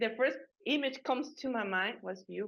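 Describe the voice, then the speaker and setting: This woman's voice is fairly high. It shows ordinary pitch variation. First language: not English. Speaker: podcast presenter. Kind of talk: interview. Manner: halting.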